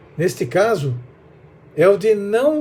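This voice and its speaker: A man's voice with lively intonation. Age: 60s. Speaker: preacher. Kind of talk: sermon.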